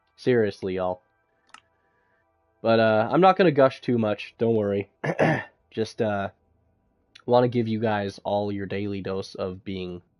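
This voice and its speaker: Music plays in the background while the voice moves at a fairly slow pace with fairly even intonation and long, frequent pauses. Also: man, fairly low pitch for a man. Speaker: gaming streamer. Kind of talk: live gameplay stream chat. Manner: casual, hesitant with fillers.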